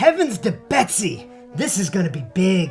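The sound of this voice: Clear music plays behind a put-on character voice at middle pitch, delivered at a moderate pace with very wide pitch swings.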